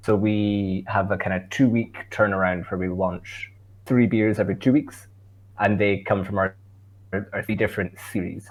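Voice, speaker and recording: Speaking at a moderate pace in a Scottish accent, a man with a fairly low pitch keeps a monotone, flat intonation on a very clean recording with a silent background. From Scotland. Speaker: brewer. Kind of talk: podcast interview. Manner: casual, with many fillers.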